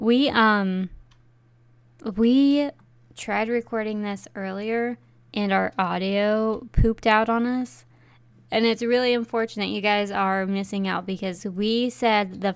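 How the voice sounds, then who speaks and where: A woman with a normal speaking voice, fairly high in pitch, with fairly even intonation and a fairly slow pace. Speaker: podcast co-host. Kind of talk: casual chat, true crime discussion. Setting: remote video call, recording.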